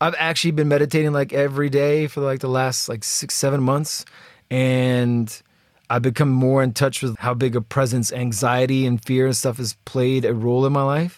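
Speaking at a moderate pace, the man holds a medium pitch. His intonation stays fairly even. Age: 40s. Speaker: travel podcast host. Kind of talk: casual chat. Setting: recording in a closet with laptops.

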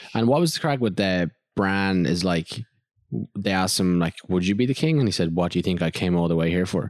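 In an Irish accent, a man talks at a fairly quick pace with a very deep, low pitch and ordinary pitch variation. His loudness stays very even. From Ireland. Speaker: podcast host. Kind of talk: casual chat. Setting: studio.

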